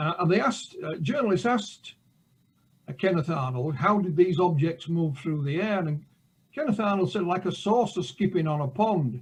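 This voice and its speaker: Here a man talks with a high pitch and lively intonation. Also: moderate pace. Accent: Yorkshire. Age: 60s. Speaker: author and UFO researcher. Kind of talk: interview. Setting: live show.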